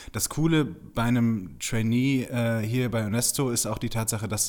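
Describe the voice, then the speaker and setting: A man's unremarkable speaking voice at medium pitch, with a moderate pace and fairly even intonation. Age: 20s. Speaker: PR consultant. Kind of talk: casual interview.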